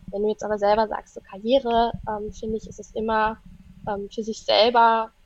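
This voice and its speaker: A woman's normal speaking voice, fairly high in pitch, at a moderate pace. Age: 30s. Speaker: astrologer and psychologist. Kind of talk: casual chat.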